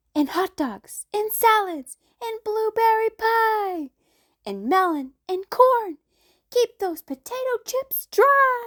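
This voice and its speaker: Someone uses a squeaky, put-on character voice, moving at a very slow pace with lively intonation. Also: woman, extremely high pitch for a woman. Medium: read story.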